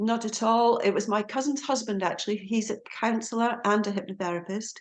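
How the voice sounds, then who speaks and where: A fairly quick pace with fairly even intonation in a Scottish accent. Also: woman, fairly high pitch for a woman. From Scotland, Aberdeen. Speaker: hypnotherapist and lecturer. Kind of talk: podcast interview.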